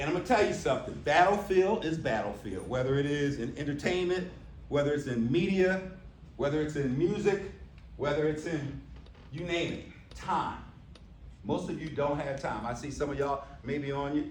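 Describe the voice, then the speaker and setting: An American accent at a moderate pace, with ordinary pitch variation and long, frequent pauses, amid noticeable background noise and audible room echo. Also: man, fairly high pitch for a man. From US Northeast. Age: 60s. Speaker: keynote speaker. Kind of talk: keynote speech. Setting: stage with audience. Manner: loud, commanding.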